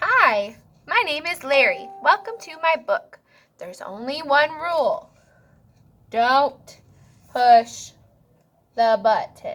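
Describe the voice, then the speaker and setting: A woman's put-on character voice, high-pitched and very slow, with long, frequent pauses. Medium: read story. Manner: cheerful, friendly.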